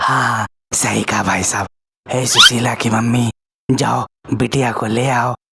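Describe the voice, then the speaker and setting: Fairly slow and monotone, a cartoonish character voice comes through dry and close with no echo, broken by long, frequent pauses. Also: man, medium pitch for a man. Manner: polite, humble.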